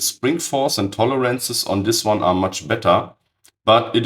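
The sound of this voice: A man speaks at a fairly slow pace and a medium pitch, his voice raspy with a fairly bright tone. His pitch varies in an ordinary way.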